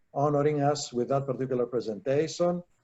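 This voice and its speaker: Speaking at a moderate pace with a Greek accent, a man has a dark, mellow tone, medium pitch, and fairly even intonation. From Greece. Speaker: attorney presenter. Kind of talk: presentation and thanks. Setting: virtual live event.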